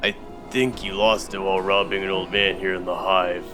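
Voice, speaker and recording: Over loud music in the background, a man in a put-on character voice with a very deep, low pitch speaks at a moderate pace. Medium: game stream. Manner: dry, unflustered.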